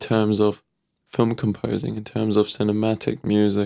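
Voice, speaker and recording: With a German accent, a man speaks at a moderate pace. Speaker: vocal artist and producer. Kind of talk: tutorial.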